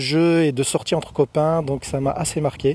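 With a dark, mellow tone and fairly even intonation, a man speaks at a moderate pace in a fairly high pitch, the sound dry and close with no echo. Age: 40s. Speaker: listener answering a reader questionnaire, railway employee. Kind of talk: recorded questionnaire answers.

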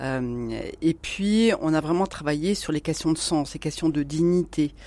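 A woman speaks at a very slow pace with a very deep, low pitch. The recording is very clean, with a silent background. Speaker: corporate social responsibility consultant. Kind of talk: radio interview discussion. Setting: radio studio.

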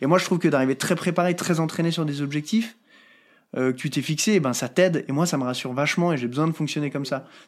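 In a very clean recording with a silent background, a man talks at a very fast pace with a fairly high pitch. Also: ordinary pitch variation. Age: 30s. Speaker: mountaineer and high-mountain guide. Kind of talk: interview conversation.

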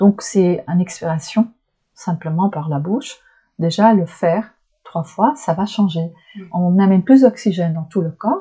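A woman with a dark, mellow tone talks at a fairly slow pace, somewhat breathy, in a medium pitch with ordinary pitch variation. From Flanders, northern Belgium. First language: Dutch (Flemish) (speaking French). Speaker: shiatsu practitioner. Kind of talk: interview conversation. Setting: small private room. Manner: hesitant, searching for words.

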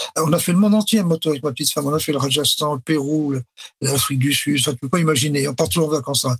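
A man with a fairly high pitch talks at a very fast pace, using ordinary pitch variation. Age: 70s. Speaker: retired company director. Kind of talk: interview. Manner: hesitant with fillers.

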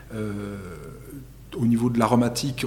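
With audible room echo, a man of medium pitch speaks at a moderate pace in monotone, flat intonation. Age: 30s. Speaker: winemaker. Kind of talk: interview. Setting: winery.

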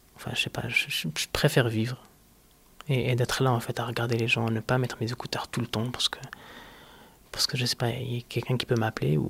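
In a calm tone, a man talks at a fairly quick pace with long, frequent pauses, a medium pitch and fairly even intonation, recorded with a dry, close sound and no echo. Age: 30s. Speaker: person living with multiple sclerosis. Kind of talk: personal testimony interview.

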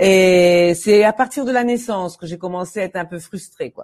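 A woman's unremarkable speaking voice, fairly low in pitch with ordinary variation, at a moderate pace against a quiet background. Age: 60s. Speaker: English teacher. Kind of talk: interview.

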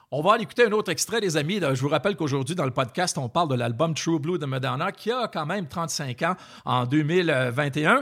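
The speaker talks at a fairly quick clip in a Quebec accent, with lively intonation. The recording is very clean, with a silent background. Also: man, fairly high pitch for a man. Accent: Québécois French. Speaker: podcast host, former music TV journalist. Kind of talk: casual chat.

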